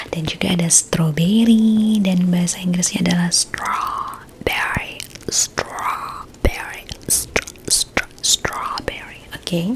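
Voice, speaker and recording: A woman whispers very slowly in a gentle, relaxed tone, with noticeable background noise behind her. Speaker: ASMR roleplay creator. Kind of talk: ASMR roleplay, focus test clinic. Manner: soft-spoken, gentle, relaxed.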